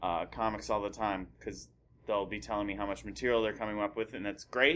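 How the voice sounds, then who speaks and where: Very fast speech comes from a man with a fairly low pitch. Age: 30s. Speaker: stand-up comedian. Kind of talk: casual chat.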